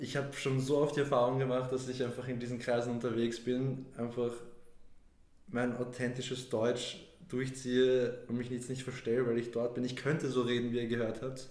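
The voice comes at a moderate pace with monotone, flat intonation and audible room echo. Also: man, medium pitch for a man. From Vienna, Austria. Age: 20s. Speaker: podcast guest. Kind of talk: casual chat. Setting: studio.

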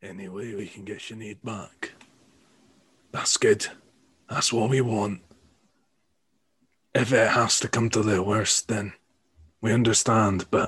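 A man's put-on character voice, raspy and medium-pitched, with fairly even intonation, a fairly slow pace, big swings in loudness and long, frequent pauses. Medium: actual play. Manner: earnest.

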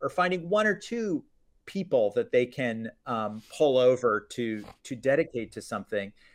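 Against a quiet background, a man with an American accent and a fairly high pitch speaks with very wide pitch swings. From US, Florida. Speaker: media company founder, former business journalist. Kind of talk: interview. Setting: video call.

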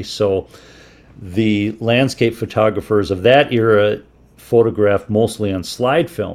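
An unremarkable speaking voice from a man with an American accent, fairly low in pitch, at a fairly slow pace. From Minnesota, US Midwest. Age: 60s. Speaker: photographer and outdoorsman. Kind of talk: radio interview.

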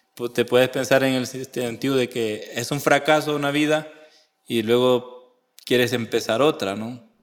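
Fairly even intonation marks this speech, which unfolds at a fairly slow pace. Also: man, medium pitch for a man. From El Salvador. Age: 30s. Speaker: religious seminarian. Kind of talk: interview. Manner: halting.

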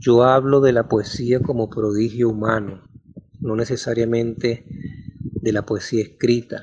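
Here a man speaks at a medium pitch, somewhat breathy. His pace is fairly slow and his intonation flat and monotone. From Venezuela, Maracaibo. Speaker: novelist. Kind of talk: personal storytelling.

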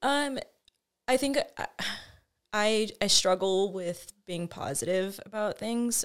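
A woman with a fairly high pitch speaks at a very slow pace. Her speech has long, frequent pauses. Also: ordinary pitch variation, very clean recording, silent background. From New Mexico, Albuquerque area. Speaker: friend and former co-worker. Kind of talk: casual chat.

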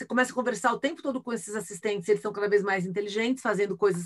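A woman with an animated tone speaks at a very fast pace, her pitch showing ordinary variation. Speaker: futurist and keynote speaker. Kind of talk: casual interview.

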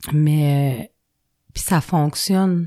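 Recorded very cleanly against a silent background, a woman with a Quebec accent speaks in a dark, mellow tone with ordinary pitch variation. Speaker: recovering alcoholic sharing her story. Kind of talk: personal testimony. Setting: studio. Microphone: close to the microphone.

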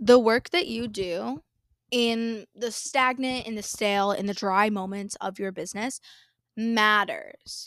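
On a very clean recording with a silent background, a woman with a fairly high pitch and an animated tone speaks at a fairly slow pace, her pitch varying in an ordinary way. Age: 20s. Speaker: business coach podcaster. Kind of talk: casual monologue.

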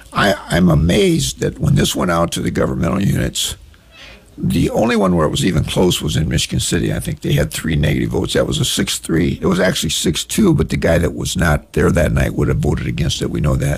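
Noticeable background noise sits behind a man with a very deep, low voice. He talks fairly quickly with lively intonation. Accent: American. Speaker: county councilman. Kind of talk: radio interview, call-in Q&A. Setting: radio studio.

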